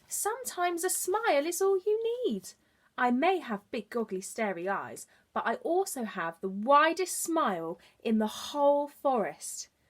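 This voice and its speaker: A woman's put-on character voice, high-pitched and croaky, with very wide pitch swings at a moderate pace. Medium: read story.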